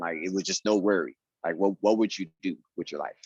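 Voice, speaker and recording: A man speaks at a fairly low pitch, the sound dry and close with no echo. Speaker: podcast host and singer. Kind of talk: casual interview chat. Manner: halting, many fillers.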